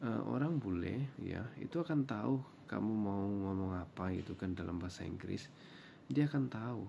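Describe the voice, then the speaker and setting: A man speaks with a Javanese accent, his voice fairly low with a dark, mellow tone. His intonation is lively and his pace moderate. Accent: Javanese accent, also in Indonesian. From Java, Indonesia. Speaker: vlogger. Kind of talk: reaction commentary.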